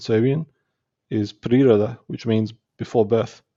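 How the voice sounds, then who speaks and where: A man speaks with an Australian accent at a fairly slow pace. His pitch is medium. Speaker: spiritual teacher and entrepreneur. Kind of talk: podcast interview. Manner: halting.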